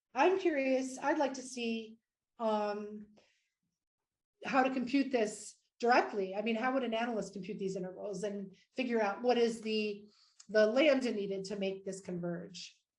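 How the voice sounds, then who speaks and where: Against audible room echo, a woman talks at a fairly slow pace with long, frequent pauses, her fairly high voice showing ordinary pitch variation. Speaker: mathematics professor. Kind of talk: lecture. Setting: virtual conference talk. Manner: hesitant fillers.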